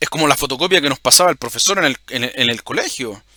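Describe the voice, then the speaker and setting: A man's bright, sharp voice with lively intonation, recorded dry and close with no echo. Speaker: religious video host. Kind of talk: bible teaching monologue. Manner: halting, repeats words.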